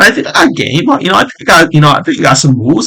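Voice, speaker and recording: A man speaks loudly in a bright, sharp tone with an American accent. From New York. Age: 20s. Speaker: gaming streamer. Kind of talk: casual vlog monologue. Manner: halting.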